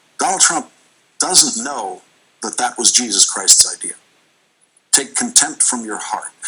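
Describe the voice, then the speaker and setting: A man speaks at a moderate pace. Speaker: TV news host. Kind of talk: TV news commentary monologue.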